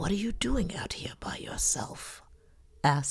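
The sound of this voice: What you hear is an unforced reading voice.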